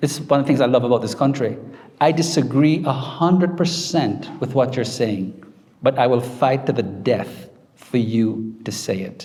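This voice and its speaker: Over music in the background and audible room echo, a man with a Jamaican accent speaks in a confident tone at a moderate pace and medium pitch. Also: ordinary pitch variation. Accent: Jamaican accent, kept. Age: 50s. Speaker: professor. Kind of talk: book talk Q&A. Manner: confident, emphatic.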